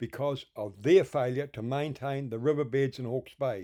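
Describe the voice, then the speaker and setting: A man's fairly high voice with a dark, mellow tone and a New Zealand accent, in a very clean recording with a silent background. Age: 60s. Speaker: filmmaker and firewood salvager. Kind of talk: documentary narration.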